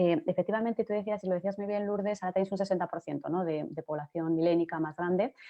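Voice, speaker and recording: A woman's medium-pitched voice with ordinary pitch variation and a Castilian accent. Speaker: journalist and digital transformation consultant. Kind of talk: panel discussion. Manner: fast; animated.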